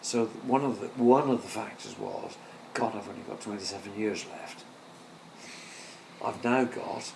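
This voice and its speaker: A man speaks at a medium pitch and moderate pace, in a monotone, flat intonation. Audible room echo and noticeable background noise fill the recording. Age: 60s. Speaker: filmmaker's parent, retiree. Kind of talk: casual chat. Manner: halting.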